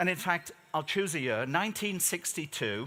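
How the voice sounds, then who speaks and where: At a moderate pace, a man with an English accent speaks in a bright, sharp tone with lively intonation. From Switzerland, schooled in the UK. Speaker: keynote speaker. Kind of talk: conference keynote speech. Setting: stage with audience. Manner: animated, joking.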